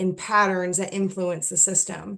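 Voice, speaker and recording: A woman speaks at a medium pitch. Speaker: workshop presenter. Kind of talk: workshop presentation. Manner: halting, many fillers and restarts.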